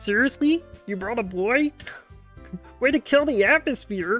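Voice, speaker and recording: A put-on character voice speaks at a fairly high pitch and a moderate pace. Faint music plays in the background. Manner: sarcastic, scolding.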